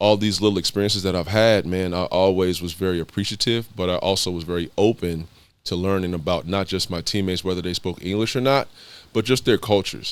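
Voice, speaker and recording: With an American accent, a man speaks very fast in a very deep, low pitch, keeping his intonation fairly even. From East Los Angeles, California. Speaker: former pro basketball player and mentor. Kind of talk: podcast interview. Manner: casual, conversational.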